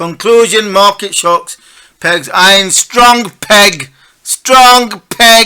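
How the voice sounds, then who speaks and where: Raising and projecting his voice, a man speaks with ordinary pitch variation. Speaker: financial markets analyst. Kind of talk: market analysis commentary. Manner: animated.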